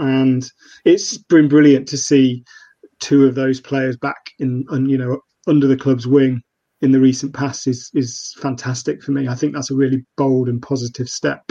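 With an East Midlands accent, a man speaks in a dark, mellow tone at medium pitch, his intonation monotone and flat. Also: moderate pace. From Nottingham, England. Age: 30s. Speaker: freelance journalist and football fan. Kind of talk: casual football podcast interview. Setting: live streamed remote call.

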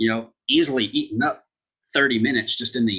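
A man speaks fairly quickly with a medium pitch and fairly even intonation. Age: 30s. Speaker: financial advisor and assistant professor. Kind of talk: casual interview. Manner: halting, many fillers.

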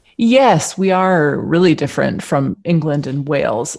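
A woman speaks in an American accent with a fairly low pitch. Her voice has vocal fry. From US, Michigan and Philadelphia. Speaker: shop owner. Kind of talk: interview.

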